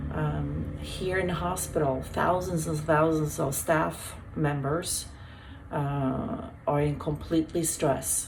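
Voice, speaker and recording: Over noticeable background noise and audible room echo, the words arrive very slowly. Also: woman. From Sweden. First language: Swedish. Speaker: hospital health worker. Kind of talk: wellness talk. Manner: halting.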